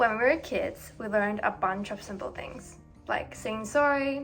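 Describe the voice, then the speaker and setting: With music in the background, a woman speaks at a medium pitch and a fairly slow pace. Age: 20s. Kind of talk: personal reflective narration. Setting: background noise.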